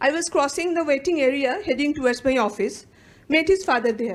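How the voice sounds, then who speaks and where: A high-pitched woman's voice in a Bengali accent, with lively intonation at a moderate pace. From India, West Bengal (Calcutta). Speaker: psychologist and academic researcher. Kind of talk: conference talk, partly read aloud. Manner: reading from a script.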